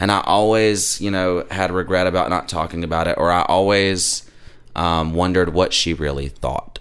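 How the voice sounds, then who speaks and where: Speaking at a moderate pace, a man with a Southern US accent uses a very deep, low pitch. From US South. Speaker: former funeral worker and church musician. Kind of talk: casual chat. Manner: animated.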